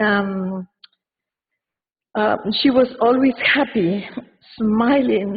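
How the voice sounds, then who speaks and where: In an Argentine accent, a woman speaks very slowly at a fairly high pitch, somewhat breathy, with long, frequent pauses. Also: ordinary pitch variation. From Argentina. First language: Spanish. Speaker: community member speaking at a wake. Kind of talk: eulogy read aloud. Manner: halting, many fillers and repeats.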